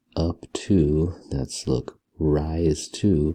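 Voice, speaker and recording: Soft-spoken and somewhat breathy, a man talks with a very deep, low pitch and a dark, mellow tone. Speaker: math teacher. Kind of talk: tutorial. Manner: soft-spoken, talking low.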